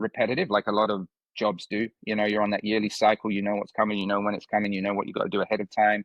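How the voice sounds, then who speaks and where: A man with an American accent rattles along very fast in a monotone, flat delivery. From UK, small village. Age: 50s. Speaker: youth fitness coach. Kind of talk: podcast interview. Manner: halting, many fillers and repetitions.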